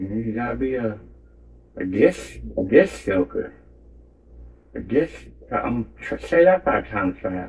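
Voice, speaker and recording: The man takes long, frequent pauses. Overall his pace is fairly slow. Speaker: painting channel host. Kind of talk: casual painting tutorial. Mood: joking, playful. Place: home room. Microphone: phone near.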